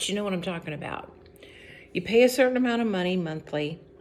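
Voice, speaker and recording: A woman speaks in a relaxed tone with an American accent. Her pitch variation is ordinary. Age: 60s. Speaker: lifestyle vlogger. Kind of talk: casual talk to camera. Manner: relaxed with frequent fillers.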